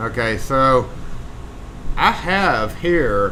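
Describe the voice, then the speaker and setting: A man with a Southern US accent, very slow pace and very wide pitch swings, plus audible room echo. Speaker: locksmith, live stream host. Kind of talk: casual live stream chat. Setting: live stream.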